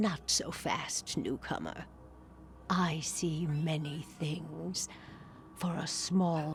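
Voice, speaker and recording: A put-on character voice at middle pitch, very slow pace and long, frequent pauses. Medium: video game. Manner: theatrical, beckoning.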